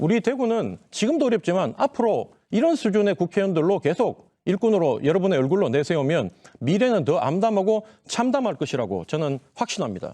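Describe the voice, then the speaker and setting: Speaking at a fairly quick pace, a man with a dark, mellow tone uses a high pitch with very wide pitch swings while keeping his loudness very even. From Daegu, South Korea. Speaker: politician, parliamentary candidate. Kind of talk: campaign speech. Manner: impassioned.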